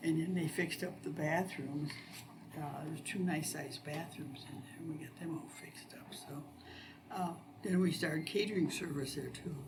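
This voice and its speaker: In an American accent, a woman with a very deep, low voice speaks at a moderate pace with fairly even intonation and big swings in loudness, amid noticeable background noise and audible room echo. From northwest Ohio, US Midwest. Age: 70s. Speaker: local resident sharing memories. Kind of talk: oral history interview.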